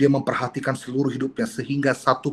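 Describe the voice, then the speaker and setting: A man speaks at a very fast pace in a medium pitch. His voice is somewhat breathy. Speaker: pastor. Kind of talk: sermon. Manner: expressive.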